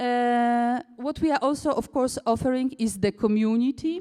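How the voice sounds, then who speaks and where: A woman with a Polish accent has a dark, mellow tone, a fairly high pitch and ordinary pitch variation. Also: dry, close sound with no echo, very clean recording, silent background. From Poland. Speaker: cooperative founder and managing director. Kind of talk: conference talk. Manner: halting, many fillers.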